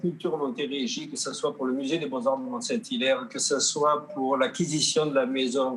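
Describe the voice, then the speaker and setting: Using lively intonation, a man talks at a moderate speed. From southern Gaspésie, Quebec. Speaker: painter and sculptor, award recipient. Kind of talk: acceptance speech. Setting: virtual online gala. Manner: halting.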